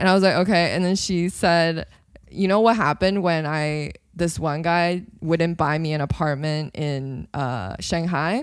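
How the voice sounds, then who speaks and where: A woman speaks in an unremarkable speaking voice at a fairly low pitch and a fairly slow pace. Her ordinary pitch variation comes through on a very clean recording with a silent background. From Canada. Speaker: comedian. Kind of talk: casual chat.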